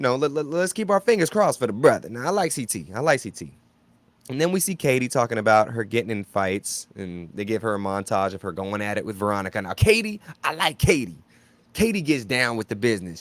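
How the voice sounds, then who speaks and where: Very wide pitch swings mark this man's animated tone as he talks at a very fast pace. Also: medium pitch for a man, very clean recording, silent background. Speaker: reality TV reaction YouTuber. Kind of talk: casual reaction commentary.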